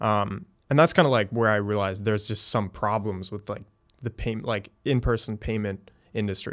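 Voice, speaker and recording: On a very clean recording with a silent background, a man with a normal speaking voice talks at a moderate pace, his fairly low pitch following fairly even intonation. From Connecticut, US East Coast (also moved around abroad). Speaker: startup founder and CEO. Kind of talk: casual interview.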